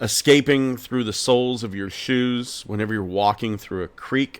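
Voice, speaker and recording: In an American accent, a man with a plain, everyday voice talks at a fairly slow pace, his medium pitch showing ordinary pitch variation. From Pennsylvania, US. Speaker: podcast host. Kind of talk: personal storytelling.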